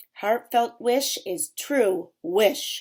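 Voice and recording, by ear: A put-on character voice, female-sounding, comes out growling and gruff. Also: fairly high pitch for a woman.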